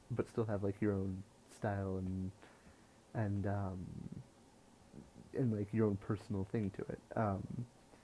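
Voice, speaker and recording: A quiet male voice with a dark, mellow tone. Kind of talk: casual talk to camera.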